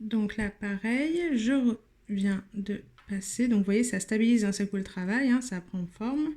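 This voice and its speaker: Somewhat breathy and dark, mellow in tone, a woman's fairly high voice moves at a fairly slow pace with ordinary pitch variation in a very clean recording with a silent background. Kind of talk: tutorial.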